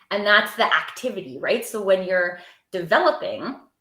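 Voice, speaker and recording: A woman speaks with a normal speaking voice at medium pitch. Her intonation is lively. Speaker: TEDx speaker and storytelling coach. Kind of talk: panel discussion.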